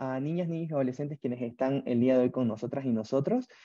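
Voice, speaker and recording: Against a quiet background, a man's fairly high voice comes through as a dry sound with no echo. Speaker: webinar moderator. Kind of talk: online webinar moderation. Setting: video call. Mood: friendly, warm. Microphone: earbuds.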